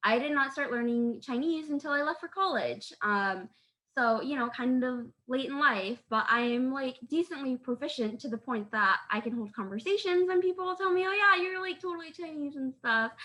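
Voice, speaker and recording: In an American accent, a woman projects a raised voice with a high pitch and bright, sharp tone, moving at a moderate pace through very wide pitch swings. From rural US. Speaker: artist panelist. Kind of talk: panel discussion. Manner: halting, many fillers.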